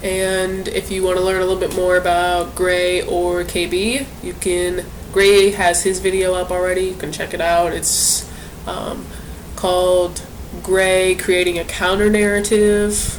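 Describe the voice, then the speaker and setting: Amid noticeable background noise and audible room echo, a speaker with an American accent talks at a fairly slow pace in a monotone, flat intonation. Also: woman, medium pitch for a woman. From US Midwest, St. Louis area, Missouri. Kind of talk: casual vlog introduction. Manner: hesitant, frequent fillers.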